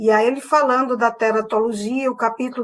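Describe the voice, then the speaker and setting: A woman speaks in a northeastern Brazilian accent. Her pitch is high. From Northeast Brazil, Paraíba backcountry (Sousa). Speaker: university professor. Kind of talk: online lecture.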